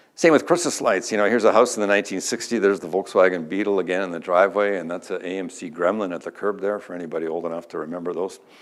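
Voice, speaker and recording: In a Canadian accent, a man with a very deep, low pitch talks at a very fast pace with big swings in loudness, recorded very cleanly against a silent background. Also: ordinary pitch variation. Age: 60s. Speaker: energy industry speaker. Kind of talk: conference talk.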